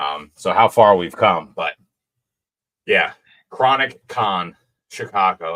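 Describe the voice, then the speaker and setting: A fairly slow pace with a New Jersey accent. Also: man. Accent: New Jersey accent, self-described as horrible. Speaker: trading card collector. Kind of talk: casual chat.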